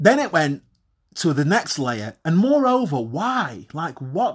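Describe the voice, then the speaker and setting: Talking at a very slow pace, a man uses a British accent. His pitch is fairly high. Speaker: podcast host. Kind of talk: monologue to listeners, casual and confessional. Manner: conversational, self-deprecating, swears casually.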